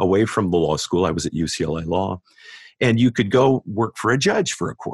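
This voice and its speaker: Recorded with a dry, close sound and no echo, a man with a normal speaking voice talks at a fairly quick pace using lively intonation. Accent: American. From US West Coast, San Diego. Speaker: law professor. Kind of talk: interview.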